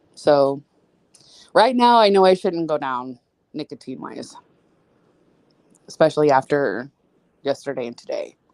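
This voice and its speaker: A woman with an American accent speaks at a very deep, low pitch, with very wide pitch swings, big swings in loudness and long, frequent pauses, in a dry, close sound with no echo. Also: moderate pace. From US Midwest, St. Louis. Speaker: podcast co-host. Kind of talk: casual chat.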